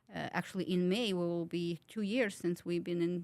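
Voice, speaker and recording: A woman with a Ukrainian accent, fairly low in pitch, at a fairly quick pace with fairly even intonation, in a very clean recording with a silent background. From Ukraine. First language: Ukrainian or Russian. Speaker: wellness clinic owner. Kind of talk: interview. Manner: halting, many fillers.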